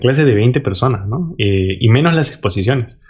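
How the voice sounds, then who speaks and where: Somewhat breathy and medium in pitch, a man talks at a fairly quick pace with very wide pitch swings. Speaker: podcast co-host. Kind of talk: casual chat. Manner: halting.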